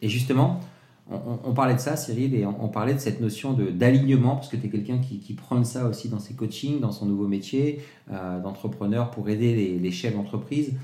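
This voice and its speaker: Amid audible room echo, a man with a medium-pitched, somewhat breathy voice and a dark, mellow tone talks at a moderate pace, his pitch varying in an ordinary way. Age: 40s. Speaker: podcast host. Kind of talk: interview. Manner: animated.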